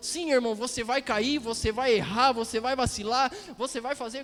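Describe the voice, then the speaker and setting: A man speaks at a fairly slow pace. His pitch is extremely high. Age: 30s. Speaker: preacher. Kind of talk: sermon.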